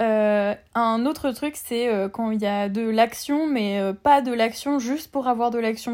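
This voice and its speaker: A woman with an ordinary speaking voice and a fairly high pitch. She talks at a fairly slow pace with fairly even intonation. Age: 20s. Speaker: literature student and book influencer. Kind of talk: casual chat. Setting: remote recording.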